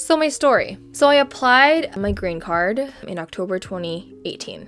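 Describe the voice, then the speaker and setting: A woman with an American accent speaks at a very slow pace. Her intonation is lively. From outside the US. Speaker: podcast host. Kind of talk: personal story podcast. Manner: casual, filler-heavy.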